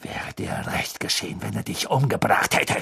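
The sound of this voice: This put-on character voice has vocal fry and a husky, rough edge over a fairly bright tone. It moves at a moderate pace. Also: man, fairly low pitch for a man, lively intonation.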